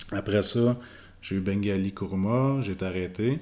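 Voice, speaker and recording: A man's fairly low voice with a Quebec accent, on a very clean recording with a silent background. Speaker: professional boxer. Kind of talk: casual interview.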